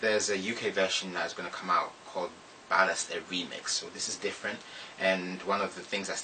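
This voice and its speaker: Very deep and low, a man's voice runs at a very fast pace in a monotone, flat delivery. Noticeable background noise is present. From Ghana. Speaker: poet. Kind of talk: casual introduction to audience.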